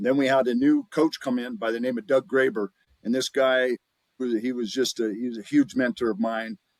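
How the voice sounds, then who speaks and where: A man with an American accent uses an ordinary speaking voice at medium pitch and a moderate pace. His intonation is fairly even, and the sound is dry and close with no echo. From Montana, US. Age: 60s. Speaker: former pro athlete and TV gladiator. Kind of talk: podcast interview.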